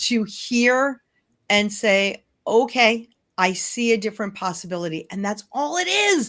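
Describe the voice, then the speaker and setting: In a New York accent, a woman speaks at a fairly slow pace. Her pitch is fairly high and her intonation lively. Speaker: hypnotherapist and change coach. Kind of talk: interview.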